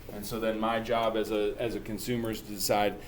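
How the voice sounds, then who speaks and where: Speech from a man with audible room echo. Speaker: math teacher. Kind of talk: tutorial. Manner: fast; casual.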